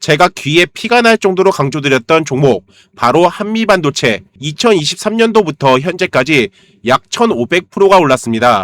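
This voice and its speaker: A man's fairly high voice with very wide pitch swings and very even loudness, in a dry, close sound with no echo. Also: moderate pace. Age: 40s. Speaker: stock market YouTuber, trader. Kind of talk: stock analysis lecture; sales pitch. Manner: conversational, rhetorical questions.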